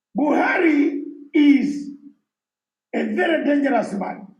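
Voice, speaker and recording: Delivered at a very slow pace with ordinary pitch variation, the speech carries audible room echo. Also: man. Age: 60s. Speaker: exiled opposition activist. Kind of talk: conference speech. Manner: emphatic.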